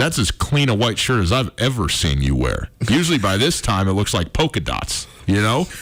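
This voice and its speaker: At a moderate pace and with hardly any pauses, a man with a fairly low pitch swings very widely in pitch while his loudness stays very even, with noticeable background noise behind him. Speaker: sports radio host. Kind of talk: casual sports radio talk. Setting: radio studio. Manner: stuttering and stammering at times.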